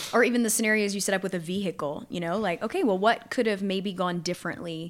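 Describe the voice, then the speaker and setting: A woman with a Louisiana accent talks at a very fast pace. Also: very clean recording, silent background. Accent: Southern US (Louisiana). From Southwest Louisiana. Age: 30s. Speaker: preparedness instructor. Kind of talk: casual chat.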